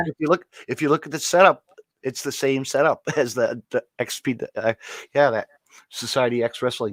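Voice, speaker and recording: A man's ordinary speaking voice at a moderate pace, fairly high in pitch with ordinary pitch variation. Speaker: podcast host. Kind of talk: casual podcast conversation.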